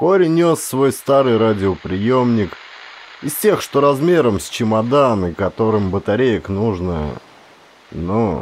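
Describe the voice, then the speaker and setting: Over noticeable background noise, a man with a fairly low pitch talks at a very slow pace, with very wide pitch swings and long, frequent pauses. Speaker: audiobook reader, actor. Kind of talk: audiobook narration of a horror short story.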